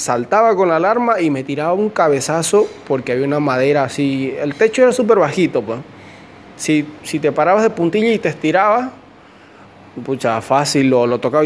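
With lively intonation and a fairly high pitch, a man speaks at a moderate pace over noticeable background noise. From Bolivia, Santa Cruz de la Sierra. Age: 20s. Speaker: podcaster and migrant worker. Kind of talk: casual personal storytelling monologue. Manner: hesitant, many fillers and repetitions.

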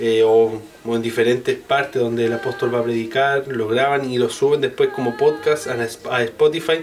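A man speaks with a Chilean accent and hardly any pauses. Noticeable background noise runs behind him. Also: medium pitch for a man, moderate pace. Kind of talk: casual chat. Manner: animated.

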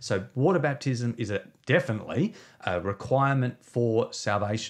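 With an Australian accent, a man speaks at a medium pitch and a moderate pace. His pitch varies in an ordinary way over a quiet background. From South Australia. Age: 40s. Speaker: pastor and author. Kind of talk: interview conversation. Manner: hesitant with fillers.

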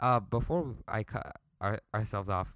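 An unremarkable speaking voice in a very clean recording with a silent background. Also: man. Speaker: podcast co-host. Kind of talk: casual banter chat. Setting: basement recording with video.

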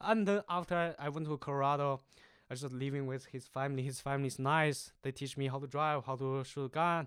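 This man has a Chinese accent and a fairly high voice, talking at a fairly quick pace. His intonation stays fairly even, and the recording is very clean with a silent background. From China. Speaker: university student. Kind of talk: casual interview chat.

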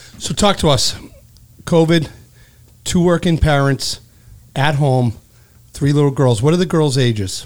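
A man with a Boston accent at a fairly high pitch and a fairly slow pace, with long, frequent pauses and ordinary pitch variation. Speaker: podcast co-host, insurance adjuster. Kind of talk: casual chat. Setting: studio.

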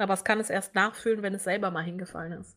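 A woman talks at a fairly quick pace in an unremarkable speaking voice with fairly even intonation. The recording is very clean, the background silent. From Hannover, Germany. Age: 20s. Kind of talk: casual chat.

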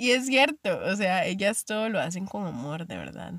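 With a Costa Rican accent, a woman talks at medium pitch and a moderate pace in a dry, close sound with no echo. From Costa Rica, Limón. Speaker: podcast host. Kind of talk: casual monologue.

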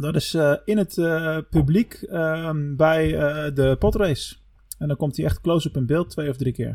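Here a man talks at a fairly slow pace, with a fairly high pitch and ordinary pitch variation. He has an ordinary speaking voice. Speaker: podcast host. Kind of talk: casual chat.

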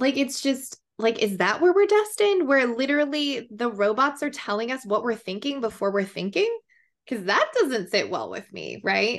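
The voice makes very wide pitch swings against a quiet background. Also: woman, high pitch for a woman, moderate pace. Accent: American. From Colorado, small town. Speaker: business consultant. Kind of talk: casual interview.

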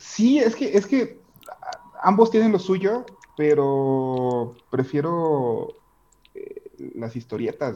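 With a Mexican accent, a man speaks very slowly in a high voice, with long, frequent pauses. His pitch swings very widely and his loudness rises and falls sharply. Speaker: podcast co-host. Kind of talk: casual chat.

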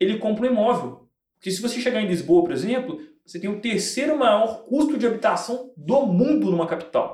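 In a room with audible echo, a man talks with lively intonation at a high pitch. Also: fairly quick pace. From Belo Horizonte, Brazil. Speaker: sports betting tipster and entrepreneur. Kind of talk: casual interview chat. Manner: slangy, street-style casual speech.

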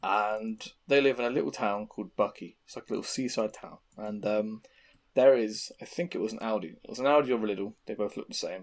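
Talking fairly quickly at a medium pitch, a man with an English accent swings widely in loudness. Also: ordinary pitch variation. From England. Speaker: podcast host. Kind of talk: casual chat. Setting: video call.

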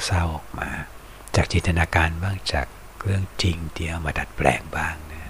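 A man's very deep, low voice with fairly even intonation amid noticeable background noise. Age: 50s. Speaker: online radio-style music show host. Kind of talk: casual monologue between songs.

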